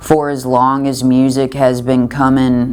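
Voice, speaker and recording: Very slow, monotone, flat speech in a strong Southern US accent, with audible room echo and noticeable background noise. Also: woman. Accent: thick Southern US. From US South, western Kentucky. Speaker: singer-songwriter. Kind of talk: interview. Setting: backstage at a music festival. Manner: halting, with repeated words and fillers.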